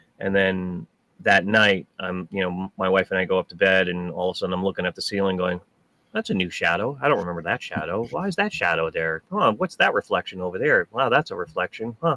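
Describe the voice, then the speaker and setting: The pace is very fast. The sound is dry and close, with no echo. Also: man. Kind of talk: casual chat.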